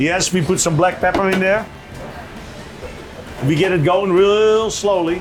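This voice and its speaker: With a Dutch accent, a man talks at a fairly slow pace and a high pitch, his intonation fairly even and his long pauses frequent, while music plays in the background and room echo is audible. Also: very even loudness. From Netherlands. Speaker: restaurant owner and chef. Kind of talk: casual interview and cooking demonstration.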